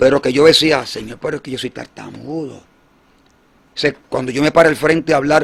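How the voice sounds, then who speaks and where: Using a fairly high pitch with vocal fry, a man talks at a fairly quick pace in a monotone, flat way, with long, frequent pauses. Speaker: evangelist. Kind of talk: testimony. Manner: halting.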